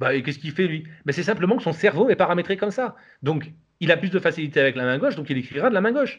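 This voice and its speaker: This man has a high-pitched voice. He talks at a very fast pace. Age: 40s. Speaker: salaried employee developing a side project. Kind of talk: interview conversation. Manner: hesitant, many fillers.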